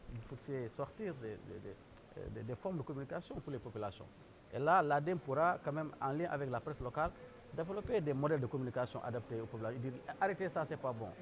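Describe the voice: A man talks at a fast pace with few pauses, lively intonation and vocal fry. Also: medium pitch for a man.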